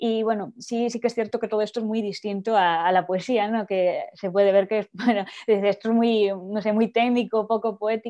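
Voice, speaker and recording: Against a quiet background, a woman talks at a fairly quick pace with a fairly high pitch and a monotone, flat intonation. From Spain. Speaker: poet. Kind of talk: interview. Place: home room. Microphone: earbuds.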